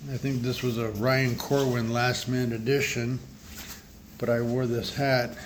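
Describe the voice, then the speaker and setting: Against noticeable background noise and audible room echo, a man with a medium pitch speaks at a fairly slow pace with monotone, flat intonation. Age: 60s. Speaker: leukemia patient vlogger, former delivery driver. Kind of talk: casual vlog. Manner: halting, many fillers.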